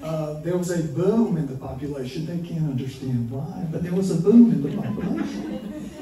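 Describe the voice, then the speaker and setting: Against noticeable background noise and audible room echo, a man with a Southern US accent talks at a moderate pace, his fairly high pitch rising and falling with lively intonation. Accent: Southern US (Georgia). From US South, small-town Georgia. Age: 70s. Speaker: storyteller. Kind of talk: live storytelling. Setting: stage with audience.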